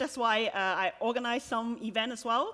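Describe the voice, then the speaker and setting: A woman speaks in a Cantonese accent with a bright, sharp tone. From Hong Kong. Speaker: software developer and conference speaker. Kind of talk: conference talk. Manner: hesitant, many fillers.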